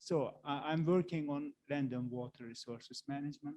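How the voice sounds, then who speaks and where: With a Turkish accent, a man with a dark, mellow tone speaks at a moderate pace with fairly even intonation, the sound dry and close with no echo. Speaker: university researcher. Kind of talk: workshop Q&A. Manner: halting. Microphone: too quiet, far from mic.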